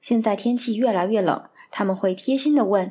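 A woman's medium-pitched voice at a moderate pace, with lively intonation, on a very clean recording with a silent background. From Northeast China, Harbin. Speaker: podcast host. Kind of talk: scripted narration.

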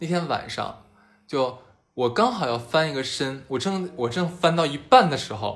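A man with a fairly high pitch speaks at a moderate pace. His voice is somewhat breathy, and audible room echo surrounds it. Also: lively intonation. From Harbin, northeast China. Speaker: podcast host. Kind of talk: casual chat.

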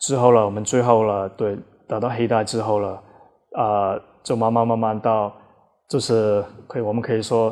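A man speaks at a moderate pace in a monotone, flat intonation. Long, frequent pauses break up his delivery. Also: medium pitch for a man. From Australia, emigrated as a child; also trained in Taiwan. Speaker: Brazilian jiu-jitsu coach. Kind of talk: interview conversation.

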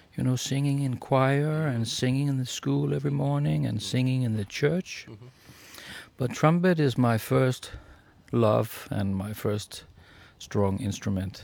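In a Danish accent, a man with a dark, mellow, medium-pitched voice speaks at a moderate pace, his pitch swinging very widely between long, frequent pauses. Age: 50s. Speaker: jazz trumpet player. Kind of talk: interview.

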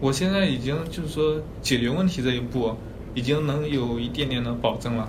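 A man of medium pitch is heard amid noticeable background noise and audible room echo. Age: 20s. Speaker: graphic designer. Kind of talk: casual career consultation chat. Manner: halting, many fillers.

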